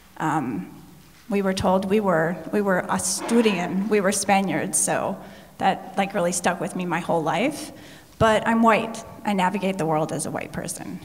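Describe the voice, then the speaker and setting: A woman talks at a moderate pace with medium pitch and ordinary pitch variation. Noticeable background noise and audible room echo are in the recording. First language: Spanish. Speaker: panelist. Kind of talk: panel discussion.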